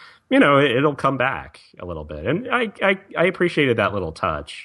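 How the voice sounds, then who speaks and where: A man with a slight Southern accent talks at a moderate pace. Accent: slight Southern, occasional y'all. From Virginia, US South. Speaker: podcast co-host. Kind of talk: casual chat.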